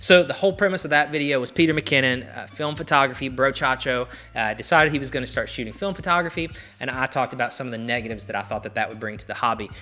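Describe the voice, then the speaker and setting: At a very fast pace, a man with a Southern US accent speaks in a bright, sharp tone, medium in pitch with ordinary pitch variation and big swings in loudness. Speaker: film photography YouTuber. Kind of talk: casual talk to camera. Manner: opinionated, ranting.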